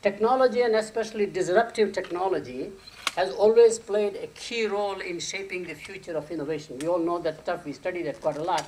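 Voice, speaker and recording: Over noticeable background noise, a man with a high pitch speaks at a fairly quick pace, using ordinary pitch variation. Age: 70s. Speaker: marketing professor. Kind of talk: conference keynote lecture.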